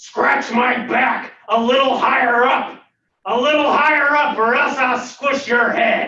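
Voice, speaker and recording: A man's put-on character voice, extremely high and angry, delivered at a fairly slow pace with slight echo. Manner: angry, threatening.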